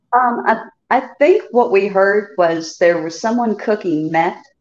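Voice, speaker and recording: Here a woman has a normal speaking voice at a medium pitch, with an American accent. She speaks at a fairly slow pace. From Chicago. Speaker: contestant guest. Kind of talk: casual storytelling.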